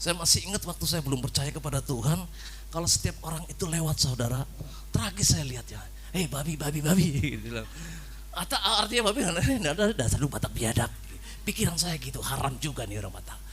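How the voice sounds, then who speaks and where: Delivered at a very fast pace with a Javanese accent, the speech carries audible room echo. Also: man. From Cilacap, Central Java. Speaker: preacher. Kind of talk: sermon. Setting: church. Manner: animated.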